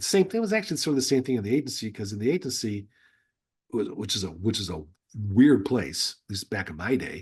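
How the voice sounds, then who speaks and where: A man with a medium-pitched, somewhat breathy voice talks at a very fast pace, his pitch swinging very widely. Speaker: former intelligence officer and novelist. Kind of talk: interview conversation. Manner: halting, with false starts.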